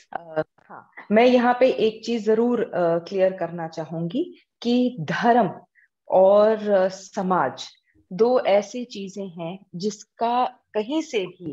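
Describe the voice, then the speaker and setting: This woman has a dark, mellow tone and a fairly high pitch. Her intonation is lively. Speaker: social activist, NGO founder. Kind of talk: interview.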